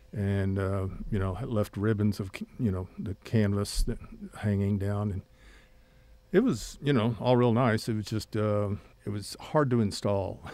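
A man with a Texas accent speaks at a fairly slow pace with long, frequent pauses. His voice has a fairly low pitch, a dark, mellow tone and fairly even intonation. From West Texas (Odessa). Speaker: oil painter and retired art teacher. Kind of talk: interview. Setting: studio. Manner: halting.

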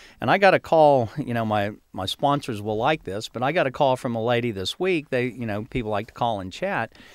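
An American man speaks at a fairly quick pace in a normal speaking voice, medium in pitch, with lively intonation and hardly any pauses. The recording is very clean, with a silent background. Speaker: gardening magazine owner. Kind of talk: casual chat. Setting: studio.

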